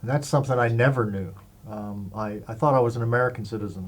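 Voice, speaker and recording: A man with a medium pitch and a somewhat breathy voice talks at a fairly quick pace. His pitch variation is ordinary, and there is audible room echo. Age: 60s. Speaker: interviewee sharing life story. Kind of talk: interview testimony. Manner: hesitant, many fillers.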